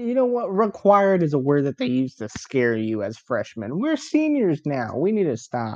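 A moderate pace with hardly any pauses. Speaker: podcast co-host. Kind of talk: casual chat.

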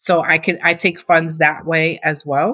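A woman talks with an American accent. Her pace is very slow. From Massachusetts. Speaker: nonprofit founder. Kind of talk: interview.

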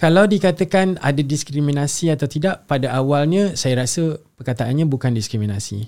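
A man's unremarkable speaking voice, fairly high-pitched, with lively intonation, a moderate pace and hardly any pauses. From Singapore. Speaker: singer-songwriter. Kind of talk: casual interview chat.

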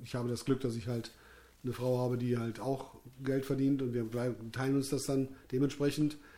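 A dark, mellow tone with monotone, flat intonation and long, frequent pauses. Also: man. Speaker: musician and podcast host. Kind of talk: casual chat. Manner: loud.

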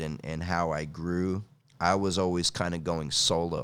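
This man's voice is very deep and low, with ordinary pitch variation. The recording is very clean, with a silent background. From California. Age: 50s. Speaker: kettlebell coach and martial artist. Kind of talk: casual interview.

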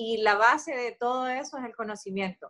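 A woman's high-pitched voice with a Honduran accent, ordinary pitch variation and a moderate pace. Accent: Honduran Spanish (voseo). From Honduras, San Pedro Sula. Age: 30s. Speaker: entrepreneur. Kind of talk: interview.

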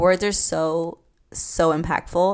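On a very clean recording with a silent background, a woman speaks with a fairly low pitch and monotone, flat intonation. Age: 20s. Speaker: podcast host. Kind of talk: casual solo podcast monologue. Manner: soothing, calmer than usual.

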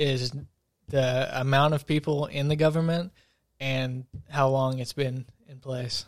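A man's fairly high, monotone voice at a fairly slow pace, with flat intonation, in a very clean recording over a silent background. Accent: Appalachian. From eastern Kentucky, Wolfe County. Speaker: college student. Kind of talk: casual chat.

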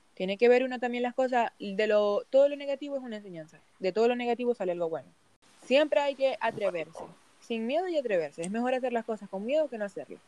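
Speaking at a very fast pace, a woman uses lively intonation at a high pitch. Her tone is dark and mellow, and the sound is dry and close with no echo. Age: 20s. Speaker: migrant small baker. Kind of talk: interview.

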